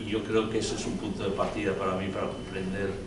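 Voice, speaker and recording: Loud background noise and audible room echo surround this recording. A man talks at a fairly quick pace. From Spain and England. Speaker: journalist and writer. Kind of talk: panel discussion. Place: hall.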